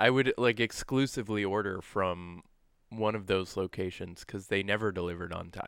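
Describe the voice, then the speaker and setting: Recorded very cleanly with a silent background, a man talks at a moderate pace in a fairly low pitch with ordinary pitch variation, an unremarkable speaking voice. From New Brunswick, French Canada. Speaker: podcast co-host. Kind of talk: casual chat.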